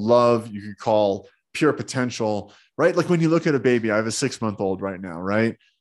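Here is a man with an ordinary speaking voice, medium pitch and an American accent. He talks at a moderate pace against a quiet background. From New Jersey. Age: 30s. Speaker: self-healing teacher and entrepreneur. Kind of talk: interview.

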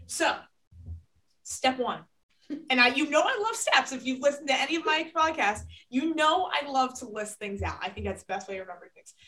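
A woman speaks in a raised, projected voice with a high pitch and a fairly quick pace. Her pitch swings very widely, her loudness shifts a lot, and she leaves long, frequent pauses. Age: young. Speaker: podcast host and college athlete. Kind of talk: casual interview chat.

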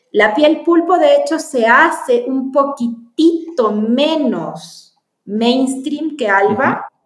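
A woman with a high pitch speaks at a very slow pace with lively intonation. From Chile. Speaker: film producer. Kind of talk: interview.

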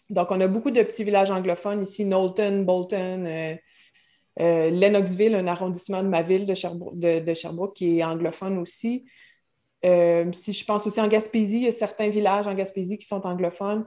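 A woman with a dark, mellow tone speaks at a medium pitch and moderate pace with fairly even intonation, on a very clean recording with a silent background. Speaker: French teacher. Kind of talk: casual interview.

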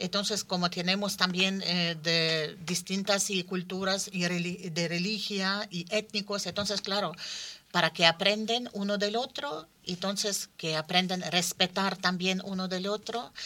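Intonation stays fairly even while the words come at a fairly slow tempo. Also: woman, medium pitch for a woman. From Ukraine. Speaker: cultural association representative. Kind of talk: radio roundtable discussion. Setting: radio studio.

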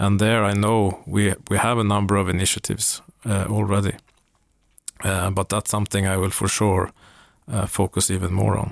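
Speaking in a Swedish accent, a man keeps a fairly low pitch, a moderate pace, very even loudness and a monotone, flat intonation. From Sweden, Uppsala. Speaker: company CEO. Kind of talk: interview.

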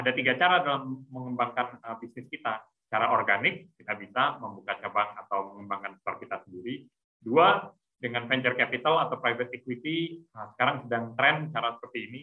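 A man's fairly quick speech in a normal speaking voice. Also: medium pitch for a man, ordinary pitch variation. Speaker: entrepreneur. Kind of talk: webinar talk. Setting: video call.

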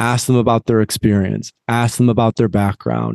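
A man with a General American accent has a normal speaking voice at a medium pitch and fairly even intonation. The sound is dry and close, with no echo. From US Midwest, West Michigan. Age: 30s. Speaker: psychedelics company founder. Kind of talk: interview. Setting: outdoors in backyard, remote call.

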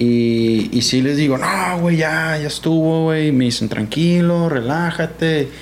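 The voice moves at a fairly slow pace with hardly any pauses, very even loudness and ordinary pitch variation, with audible room echo and noticeable background noise. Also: man, fairly high pitch for a man. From Sinaloa, Mexico (Guamúchil). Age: 30s. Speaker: skateboarder. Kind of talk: casual chat.

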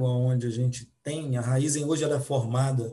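At a fairly slow pace, a somewhat breathy voice speaks with fairly even intonation. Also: man. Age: 40s. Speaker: supply analyst. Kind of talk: podcast panel discussion.

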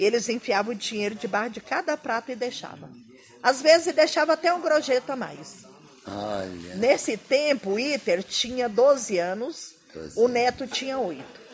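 Speaking at a fairly slow pace, a woman with a high pitch uses lively intonation. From Central Brazil, Goiás (Alto Paraíso). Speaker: restaurant owner. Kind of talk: casual interview.

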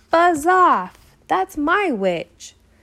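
A put-on character voice rings out high-pitched and shrill, with very wide pitch swings. It is growling and croaky at once. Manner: fierce, commanding.

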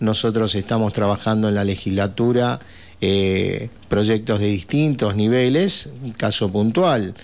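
Fairly low in pitch, a man with a plain, everyday voice speaks at a fairly slow pace, his loudness very even and his pitch varying in an ordinary way. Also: quiet background. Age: 60s. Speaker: provincial legislator. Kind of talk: radio interview. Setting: radio studio.

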